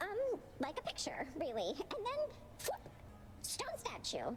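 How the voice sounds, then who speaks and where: A woman puts on a character voice at an extremely high pitch against loud background noise. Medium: video game. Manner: hesitant, chatty.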